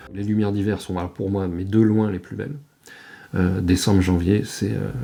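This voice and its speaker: Over music in the background and audible room echo, a man speaks at a fairly low pitch with fairly even intonation. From France, Normandy (Chausey islands). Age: 60s. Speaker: retired journalist and photographer. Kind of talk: interview testimony. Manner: halting, many hesitations.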